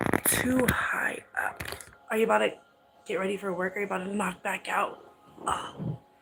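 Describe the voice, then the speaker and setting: A woman whispering with long, frequent pauses over noticeable background noise. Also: moderate pace. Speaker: vlogger live streaming. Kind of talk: casual live stream chat.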